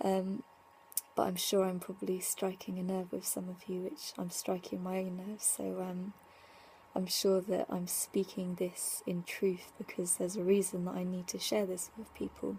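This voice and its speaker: A woman with a dark, mellow tone, somewhat breathy and in a flat monotone. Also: medium pitch for a woman, moderate pace. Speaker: spiritual vlogger. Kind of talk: casual vlog monologue. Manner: rambling with many fillers.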